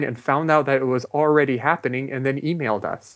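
The speaker has a normal speaking voice and an American accent. The pace is fairly quick against a quiet background. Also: man. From US West Coast, Los Angeles. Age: 30s. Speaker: meditation movement founder. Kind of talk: interview.

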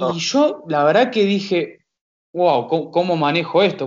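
With lively intonation, a man speaks in a Rioplatense accent. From Buenos Aires, Argentina. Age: 20s. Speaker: tennis coach. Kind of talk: interview.

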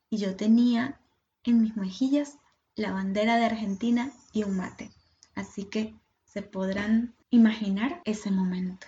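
A woman's fairly high, somewhat breathy voice with a dark, mellow tone, fairly even intonation and a fairly slow pace. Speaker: podcast host and doula. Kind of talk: personal storytelling monologue.

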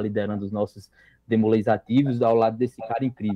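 A man talks at a medium pitch and a fairly quick pace. He speaks with a Ceará accent. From Brazil, interior of Ceará. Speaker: youth organization national leader. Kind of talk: casual chat. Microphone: lagging connection.

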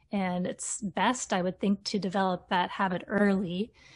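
Over a quiet background, a woman with a Canadian accent speaks at a medium pitch in a somewhat breathy voice with fairly even intonation. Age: 40s. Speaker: teacher and fitness content creator. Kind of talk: casual interview.

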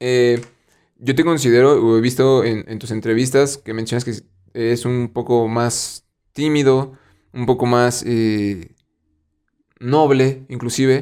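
A man's medium-pitched, dark, mellow voice with a Mexican accent, very slow, with long, frequent pauses and fairly even intonation, on a very clean recording with a silent background. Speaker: podcast host. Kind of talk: casual chat.

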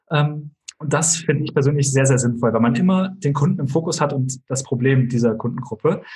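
This man's voice sits fairly high in pitch, is somewhat breathy, and moves at a moderate pace. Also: ordinary pitch variation, hardly any pauses. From Germany, small village near Kassel (northern Hesse). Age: 20s. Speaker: entrepreneur and YouTuber. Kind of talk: podcast interview.

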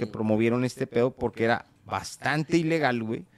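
A man speaks at a fairly quick pace with a medium pitch. The sound is dry and close, with no echo. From Mexico. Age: 30s. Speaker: podcast host. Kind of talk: casual chat. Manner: animated.

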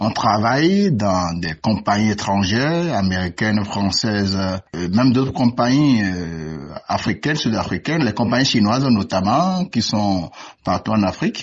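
This man speaks in a plain, everyday voice, fairly low in pitch, with lively intonation at a fairly slow pace. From Benin. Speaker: university lecturer, sinologist. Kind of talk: radio interview.

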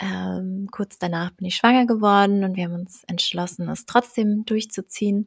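A woman with an unremarkable speaking voice talks at a fairly slow pace and medium pitch, with fairly even intonation. The very clean recording has a silent background and a dry, close sound with no echo. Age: 20s. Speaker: entrepreneur and mentor for mothers. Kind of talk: casual interview chat.

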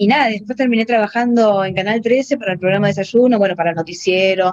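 At a moderate pace, a woman talks in an unremarkable speaking voice with ordinary pitch variation. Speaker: programmer. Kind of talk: interview.

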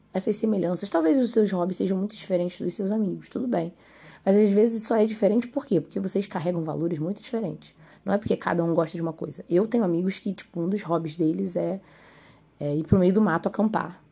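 Talking at a very fast pace, a woman uses a medium pitch and a dark, mellow tone. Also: ordinary pitch variation. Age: 20s. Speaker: podcast host. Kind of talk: solo podcast monologue. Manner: casual, conversational.

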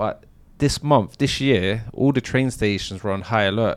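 The speaker has a London accent. Pitch rises and falls in an ordinary way. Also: man. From South London. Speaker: former armed robber. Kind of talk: interview storytelling.

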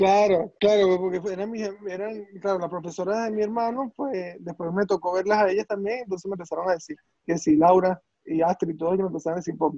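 In a Venezuelan accent, a man talks at a very fast pace in a high pitch with a dark, mellow tone and a dry, close sound with no echo. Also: fairly even intonation. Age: 20s. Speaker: surgeon. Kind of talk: casual chat.

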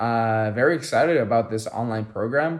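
In front of a quiet background, a man talks at a moderate pace and medium pitch with ordinary pitch variation. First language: not English. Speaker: teacher and podcast co-host. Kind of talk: casual chat.

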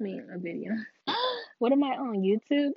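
Her high-pitched voice shows ordinary pitch variation as the woman talks. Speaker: podcaster. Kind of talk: casual monologue.

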